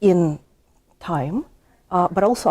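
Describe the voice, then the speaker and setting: With a Russian accent, a woman speaks at a fairly low pitch in a dark, mellow tone. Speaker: history professor. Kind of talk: interview. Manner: halting, many fillers.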